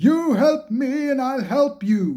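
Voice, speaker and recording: A put-on character voice pitched high. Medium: read story. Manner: grand, hearty.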